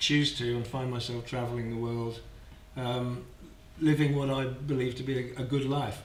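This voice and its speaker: Audible room echo surrounds a man who speaks in a flat monotone at medium pitch and a moderate pace. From southern England, Kent. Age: 60s. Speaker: traveller and volunteer. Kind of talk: podcast interview. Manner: halting.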